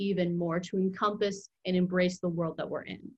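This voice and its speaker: A woman's somewhat breathy voice at medium pitch and a moderate pace. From Virginia (Mechanicsville, Hanover County). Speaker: student writer. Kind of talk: casual interview chat.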